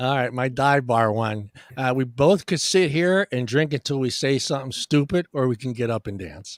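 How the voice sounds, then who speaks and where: A man with a Californian accent speaks at a moderate pace with hardly any pauses, his pitch medium and its variation ordinary. The sound is dry and close, with no echo. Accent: California. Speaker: podcast host. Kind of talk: casual chat. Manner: halting.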